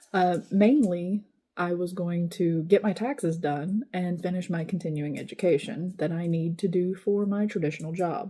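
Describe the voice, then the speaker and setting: Her voice dark, mellow and somewhat breathy, a woman with a fairly low pitch speaks at a moderate pace with ordinary pitch variation and hardly any pauses. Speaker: vlogger. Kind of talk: casual vlog update.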